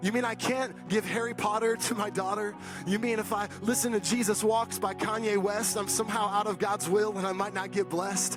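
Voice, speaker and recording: Someone speaks in a passionate tone while music plays in the background. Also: man. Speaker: pastor. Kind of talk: spoken word poetry performance. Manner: rhythmic, rhyming, passionate delivery.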